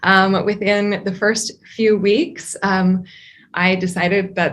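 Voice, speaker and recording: A woman speaks in a medium pitch with an Upper Midwest accent. The background is quiet. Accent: Upper Midwest American. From northern Wisconsin, US. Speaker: geology professor. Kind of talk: interview. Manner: frequent fillers (um).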